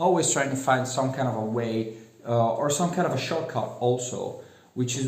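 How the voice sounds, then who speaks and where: A man talks with an Italian accent. Audible room echo and noticeable background noise are present. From Italy. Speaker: self-help vlogger. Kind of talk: casual monologue. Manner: halting, many fillers.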